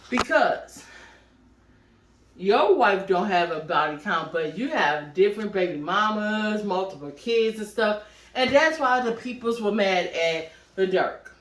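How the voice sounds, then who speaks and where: Loud and at a fairly slow pace, a woman speaks in a medium pitch with very wide pitch swings. Audible room echo and noticeable background noise surround her voice. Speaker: podcast host and producer. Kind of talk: casual chat.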